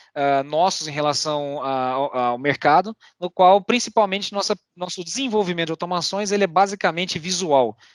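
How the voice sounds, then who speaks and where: A high-pitched man speaks at a fairly quick pace with ordinary pitch variation, and the sound is dry and close with no echo. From Brazil, Goiânia (Goiás). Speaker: RPA and AI specialist, meetup speaker. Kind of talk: technical presentation. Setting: online meetup. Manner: fast.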